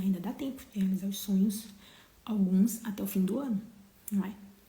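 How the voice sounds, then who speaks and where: A soft-spoken voice is heard. It moves at a fairly quick pace. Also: woman. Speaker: motivational live streamer. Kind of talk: casual live stream chat. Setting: home livestream, bedroom. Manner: speaking softly.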